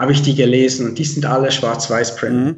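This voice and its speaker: The room's echo is audible as a man talks in a voice with some breathiness. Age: 30s. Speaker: comic artist. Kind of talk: casual interview chat. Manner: hesitant, many fillers.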